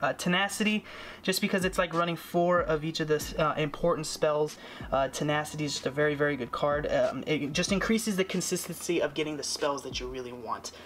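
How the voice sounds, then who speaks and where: Over noticeable background noise, a man talks at a fairly quick pace in a fairly high pitch with ordinary pitch variation. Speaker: card game youtuber. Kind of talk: deck profile tutorial. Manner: stuttering, many fillers; casual, conversational.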